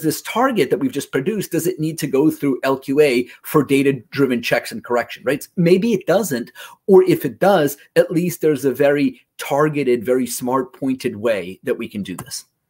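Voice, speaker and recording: Here a man talks at a moderate pace in a fairly high pitch. His intonation is lively. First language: Russian. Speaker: localization industry presenter, former translator. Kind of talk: conference presentation. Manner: conversational, frequent 'right?' fillers.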